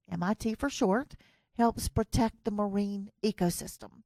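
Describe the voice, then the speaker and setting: A woman with a Southern US accent and a medium pitch, at a fairly slow pace with ordinary pitch variation, the sound dry and close with no echo. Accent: US Southern, lasting. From US South. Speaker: podcast host. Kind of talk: interview. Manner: clear; hesitant fillers.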